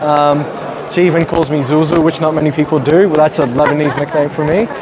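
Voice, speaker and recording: Over crowd noise in the background, a man talks at a very fast pace. His pitch is fairly high and his loudness very even. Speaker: event reporter. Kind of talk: roving event interviews. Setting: crowded gala dinner room. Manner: friendly, upbeat.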